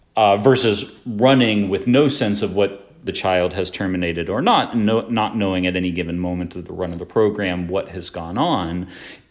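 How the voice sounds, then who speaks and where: A man talks in a plain, everyday voice at a moderate pace, with hardly any pauses. His pitch sits fairly low and varies in an ordinary way. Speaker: tutor. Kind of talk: tutorial. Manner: casual with many fillers.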